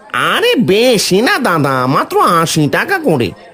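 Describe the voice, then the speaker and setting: At a moderate pace, the speaker performs in a cartoonish character voice. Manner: jovial, persuasive.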